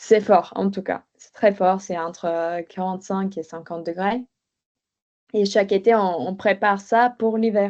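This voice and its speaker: Very slow speech in a dark, mellow tone, with fairly even intonation and a slight Bulgarian accent. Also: woman, quiet background. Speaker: podcast guest. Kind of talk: interview testimony. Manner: hesitant, many fillers.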